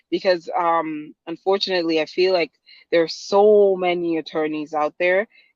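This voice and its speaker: With a Guyanese accent, a woman talks at a fairly slow pace in a fairly low pitch with fairly even intonation. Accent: Guyanese Caribbean. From Guyana. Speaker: lawyer. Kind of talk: interview. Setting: podcast.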